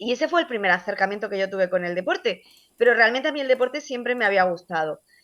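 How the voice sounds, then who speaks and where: Against a quiet background, a woman talks at a very fast pace and fairly high pitch with very wide pitch swings. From Andalusia, Almería (El Ejido). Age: 40s. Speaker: sports journalist. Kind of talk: interview. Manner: hesitant, many fillers.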